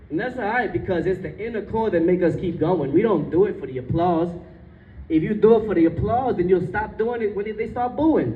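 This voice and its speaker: A man speaks in a high voice with an animated tone and lively intonation. His pace is fairly quick, and room echo is audible. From Jersey City, New Jersey (Bengali immigrant family). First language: Bengali. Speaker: author and speaker. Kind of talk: public speech.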